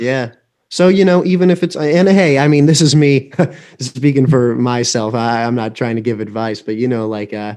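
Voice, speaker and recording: A man's dark, mellow tone at medium pitch, with lively intonation and a moderate pace. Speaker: YouTuber interviewer. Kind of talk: casual interview chat. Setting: video call live stream.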